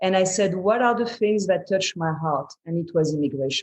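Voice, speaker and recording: A woman talks in a French accent. Her pace is moderate. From France. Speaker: entrepreneur. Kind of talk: interview answer.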